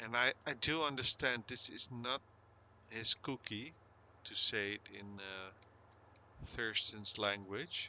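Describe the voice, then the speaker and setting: Very slow speech in a Dutch accent, long frequent pauses, ordinary pitch variation and big swings in loudness. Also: man, medium pitch for a man. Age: 50s. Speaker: gaming streamer. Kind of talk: casual chat. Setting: live stream. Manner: halting; soft-spoken.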